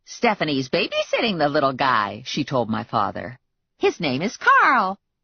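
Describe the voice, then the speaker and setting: A woman puts on a cheerful character voice, very deep and low in pitch, at a moderate pace. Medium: read story. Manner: chatty, cheerful.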